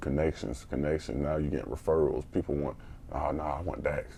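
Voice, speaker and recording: With an American accent, a man talks at a fairly quick pace in a very deep, low pitch, showing vocal fry and a dark, mellow tone. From US Midwest (St. Joseph, Missouri). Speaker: podcast co-host, youth mentor. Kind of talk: casual chat.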